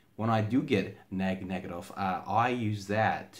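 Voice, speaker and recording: A man's voice comes with audible room echo. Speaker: aspiring motivational speaker. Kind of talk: motivational talk. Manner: halting, frequent fillers and repeated words.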